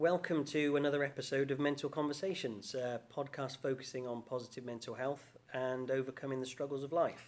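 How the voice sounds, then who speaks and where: Using a plain, everyday voice, a man talks at a fairly high pitch. His pace is fairly quick, with hardly any pauses. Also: fairly even intonation. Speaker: podcast host. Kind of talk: podcast interview questions. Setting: studio.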